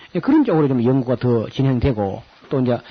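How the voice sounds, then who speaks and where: A man speaks at a fairly quick pace with a strong Gyeongsang accent. There is noticeable background noise. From South Korea, Gyeongsang region. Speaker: pastor and Bible lecturer. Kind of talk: Bible lecture with announcements. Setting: lecture hall with audience, recorded on tape. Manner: casual, hesitant with fillers.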